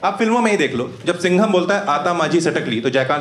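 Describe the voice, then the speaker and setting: Audible room echo surrounds a man's voice. He speaks at a fairly quick pace with a high pitch for a man. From Rewa, Madhya Pradesh, India. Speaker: stand-up comedian. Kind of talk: live stand-up comedy set. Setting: live comedy club with audience. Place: stage.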